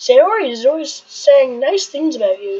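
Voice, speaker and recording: A woman's high-pitched, put-on character voice at a moderate pace, with very wide pitch swings. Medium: game stream.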